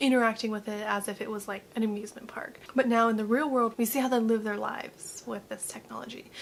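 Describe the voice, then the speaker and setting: A quiet woman talks at a fairly quick pace with a fairly high pitch. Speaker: youtube reaction host. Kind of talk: casual reaction commentary. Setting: at home, mother in next room. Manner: quiet, low volume.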